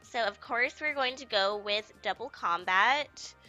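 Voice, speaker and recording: A fairly slow pace and lively intonation over music in the background. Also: woman. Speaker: let's play gamer. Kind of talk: casual gameplay commentary.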